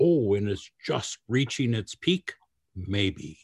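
Over a quiet background, a man talks at a fairly slow pace in a somewhat breathy voice. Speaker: podcast host. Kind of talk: interview.

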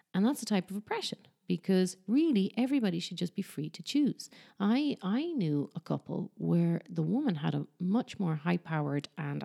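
A woman speaks at a moderate pace in an Irish accent. The sound is dry and close, with no echo. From Ireland. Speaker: podcast host. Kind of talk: casual chat.

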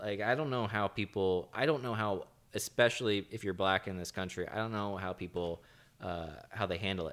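Recorded very cleanly over a silent background, a man speaks fairly quickly in an American accent. He has an ordinary speaking voice at a fairly low pitch with ordinary pitch variation. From not from the US. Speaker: podcast host. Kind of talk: casual chat.

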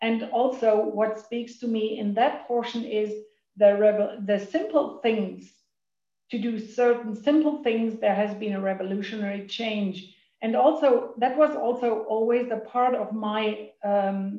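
A woman with a German accent, fairly high-pitched, at a fairly slow pace. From Germany. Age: 50s. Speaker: recovering overeater sharing at meeting. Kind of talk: recovery meeting share. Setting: video call. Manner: halting.

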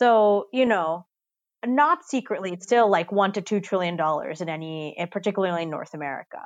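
A woman's normal speaking voice, medium in pitch, with lively intonation and a fairly quick pace, on a very clean recording with a silent background. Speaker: tax policy expert. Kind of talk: interview.

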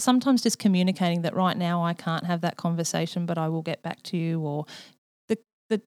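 A woman with an Australian accent and a fairly low pitch speaks at a fairly quick pace, the sound dry and close with no echo. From rural Australia. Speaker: nurse practitioner. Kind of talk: interview.

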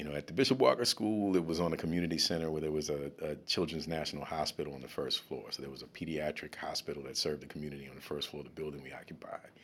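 Speaking very fast with hardly any pauses, a man with a very deep, low pitch and vocal fry uses an American accent, ordinary pitch variation, and big swings in loudness. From US South, New Orleans. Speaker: school diversity director and educator. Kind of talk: casual interview. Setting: studio. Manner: halting, many fillers and repetitions.

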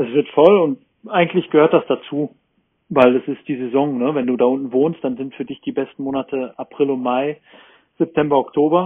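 A man with a normal speaking voice talks at a moderate pace, his pitch fairly high for a man and his pitch variation ordinary. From Ruhr area, Germany. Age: 40s. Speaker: surf camp manager. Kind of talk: casual chat. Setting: remote call.

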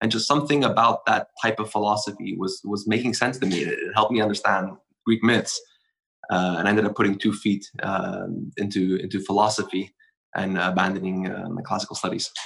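A man with an ordinary speaking voice, fairly low in pitch, at a fairly quick pace with fairly even intonation. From Montreal, Quebec, Canada. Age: 30s. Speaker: bonsai practitioner. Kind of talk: casual interview conversation.

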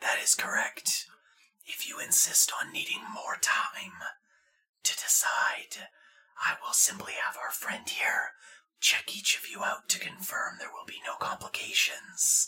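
Someone whispers in a put-on character voice at a fairly slow pace. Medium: actual play. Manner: formal, measured, polite.

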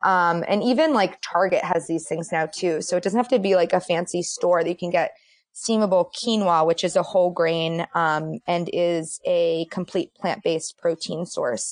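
A woman with an American accent has an unremarkable speaking voice, fairly low in pitch, at a moderate pace with hardly any pauses, recorded with a dry, close sound with no echo against a quiet background. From Boston. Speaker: dietitian. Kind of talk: casual roundtable chat.

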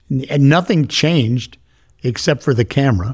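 A man's voice at medium pitch, with ordinary pitch variation. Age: 60s. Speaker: business leader. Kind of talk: interview. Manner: animated.

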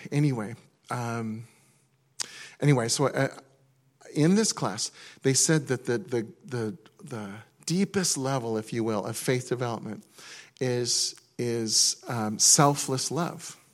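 Speaking at a fairly slow pace with long, frequent pauses, a man uses a medium pitch and ordinary pitch variation on a very clean recording with a silent background. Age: 50s. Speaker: pastor. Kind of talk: sermon. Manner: halting.

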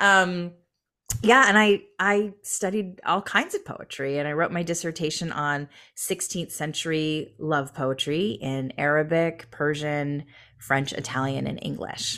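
Recorded very cleanly over a silent background, a woman with an American accent and a very deep, low pitch talks at a fairly slow pace with a bright, sharp tone and ordinary pitch variation. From Michigan. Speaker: entrepreneur and educator. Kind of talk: interview.

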